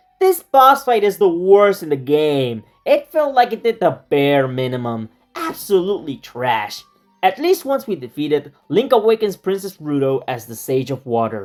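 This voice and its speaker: Moderate pace with music in the background. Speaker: video game analysis creator. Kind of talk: video essay narration. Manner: casual, sarcastic.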